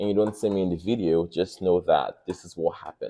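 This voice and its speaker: A man's fairly low, dark and mellow voice at a very fast pace against a quiet background. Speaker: podcast guest. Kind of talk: casual chat. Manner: animated storytelling.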